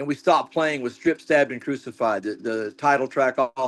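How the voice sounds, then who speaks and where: Talking at a very fast pace with hardly any pauses, a man holds a medium pitch and ordinary pitch variation, the sound dry and close with no echo and the background quiet. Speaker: metal band frontman. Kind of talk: casual interview.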